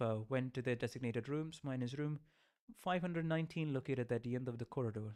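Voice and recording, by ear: The text is read aloud in a natural voice whose pitch varies in an ordinary way.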